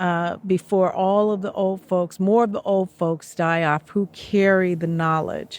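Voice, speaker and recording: A woman with a plain, everyday voice speaks at a fairly slow pace, her medium pitch showing ordinary variation. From Oakland, California. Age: 60s. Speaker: traditional healing practitioner and author. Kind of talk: interview. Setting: outdoors.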